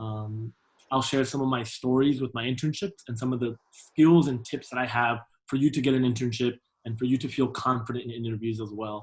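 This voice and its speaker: Somewhat breathy, a man talks at a fairly quick pace and medium pitch with fairly even intonation. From Venezuela. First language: Spanish. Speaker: alumnus career speaker. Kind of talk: presentation. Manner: fast.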